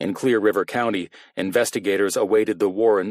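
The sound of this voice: An unforced reading voice, pitch varying ordinarily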